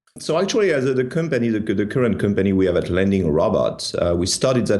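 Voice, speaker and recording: Speaking very fast with lively intonation, a man with a strong French accent has a dark, mellow tone, and audible room echo surrounds his voice. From France. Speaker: tech startup founder. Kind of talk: interview. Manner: hesitant, many fillers and repeats.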